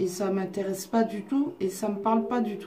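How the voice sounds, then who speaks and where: A woman speaks with lively intonation. Noticeable background noise and audible room echo are present. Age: 30s. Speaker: psychic and oracle card reader. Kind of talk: casual monologue to viewers. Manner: slow; authoritative.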